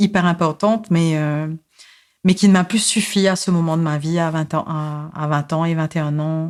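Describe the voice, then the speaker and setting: A woman's fairly low, monotone voice with flat intonation and a Mauritian accent, on a very clean recording with a silent background. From Mauritius. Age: 40s. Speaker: psychosociologist and social activist. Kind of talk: podcast interview, personal life story. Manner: hesitant, many fillers and repetitions.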